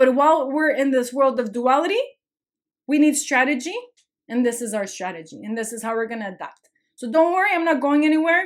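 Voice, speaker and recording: A woman with a non-native accent speaks at a fairly quick pace in a high pitch with lively intonation. Long, frequent pauses break up her speech. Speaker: online spiritual content creator. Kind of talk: casual vlog monologue. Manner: animated, repetitive emphatic.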